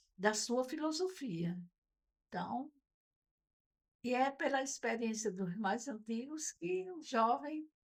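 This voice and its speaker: Lively intonation marks this woman's high-pitched voice as she speaks at a very slow pace. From Brazil, Northeast (Natal, Rio Grande do Norte). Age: 70s. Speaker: retired teacher and Rotary member. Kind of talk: podcast interview.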